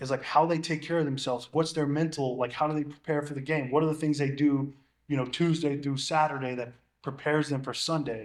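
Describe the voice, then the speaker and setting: On a very clean recording with a silent background, a man talks at a fairly quick pace with a fairly high pitch and monotone, flat intonation. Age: 30s. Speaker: NFL long snapper. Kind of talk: casual chat.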